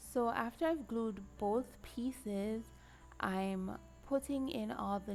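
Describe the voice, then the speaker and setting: A woman at a very slow pace, with music in the background. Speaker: card maker. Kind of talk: craft tutorial talk to camera.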